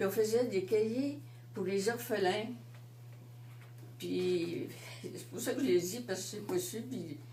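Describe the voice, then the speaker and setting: Over noticeable background noise and audible room echo, a woman speaks very slowly with long, frequent pauses, her fairly low voice making very wide pitch swings. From Quebec City. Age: 80s+. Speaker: seniors' residence resident. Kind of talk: interview.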